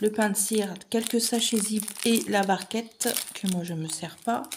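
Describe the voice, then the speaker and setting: A woman talks at a fairly slow pace with fairly even intonation. Noticeable background noise can be heard. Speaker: craft unboxing youtuber. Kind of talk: unboxing video monologue.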